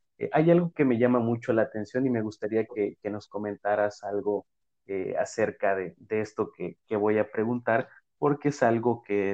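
The pace stays moderate. It is an unremarkable speaking voice. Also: man. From Mexico. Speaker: podcast host, physical education teacher. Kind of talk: casual interview.

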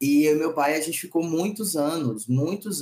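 A man talks with a dark, mellow tone. His voice is somewhat breathy. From Maranhão, northeast Brazil. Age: 30s. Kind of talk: casual chat.

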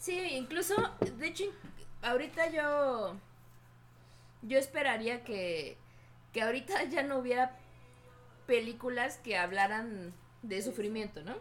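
A woman speaks at a high pitch with very wide pitch swings. Her pace is fairly slow, with long, frequent pauses. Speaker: podcast co-host. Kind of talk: casual chat.

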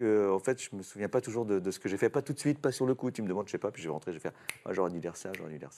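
Talking at a very fast pace with hardly any pauses, a man uses lively intonation and a fairly low pitch, in a dry, close sound with no echo. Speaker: voice actor, guest. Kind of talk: casual chat.

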